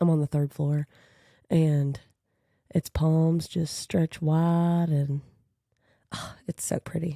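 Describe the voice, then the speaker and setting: A woman with a Kentucky accent speaks in a very deep, low pitch and a dark, mellow tone, captured in a very clean, dry, close recording with a silent background and no echo. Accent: country Kentucky. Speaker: podcast host. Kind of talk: casual monologue. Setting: home apartment recording.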